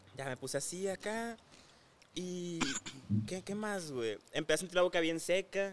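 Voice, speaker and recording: Long, frequent pauses break up the speech of a man with a high-pitched voice. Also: ordinary pitch variation, fairly slow pace. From Hermosillo, Sonora, northwest Mexico. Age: 20s. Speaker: influencer. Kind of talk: casual chat.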